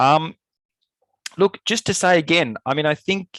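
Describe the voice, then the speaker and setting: At a moderate pace, a man talks in an Australian accent over a quiet background. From Australia, Melbourne. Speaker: climate scientist. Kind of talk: lecture. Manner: hesitant fillers.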